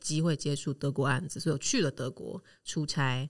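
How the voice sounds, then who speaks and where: The voice moves at a fairly quick pace in a very clean recording with a silent background. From Taiwan. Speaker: expat living in Germany. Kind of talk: interview.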